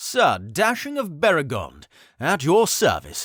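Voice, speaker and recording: A man puts on a character voice, speaking at a high pitch and fairly slow pace in a very clean recording with a silent background. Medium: read story. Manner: charming, diplomatic.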